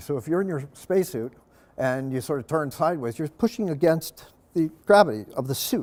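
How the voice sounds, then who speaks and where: At a fairly quick pace, a man at fairly high pitch talks with lively intonation. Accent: American. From Long Island, New York. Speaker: engineer and diver giving a public lecture. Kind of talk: lecture. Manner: fast; casual, with many fillers.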